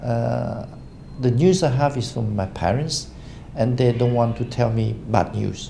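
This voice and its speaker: Amid noticeable background noise and audible room echo, a man speaks fairly slowly at a medium pitch with ordinary pitch variation. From Cambodia. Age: 60s. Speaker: business association chairman. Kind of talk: interview. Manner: halting with many fillers.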